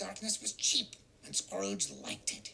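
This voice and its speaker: A put-on character voice delivers its lines at a moderate pace. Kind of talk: storybook narration. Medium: game stream.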